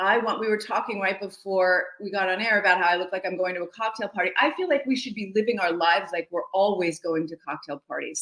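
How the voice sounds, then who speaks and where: Her tone animated, a woman speaks fairly quickly at a medium pitch with ordinary pitch variation. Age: 60s. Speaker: fashion stylist and image consultant. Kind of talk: casual interview.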